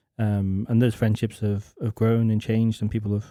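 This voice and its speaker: In an English accent, a man with a fairly low pitch speaks in a dark, mellow tone with monotone, flat intonation. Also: very clean recording, silent background. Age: 30s. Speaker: church member. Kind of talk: casual discussion. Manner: halting.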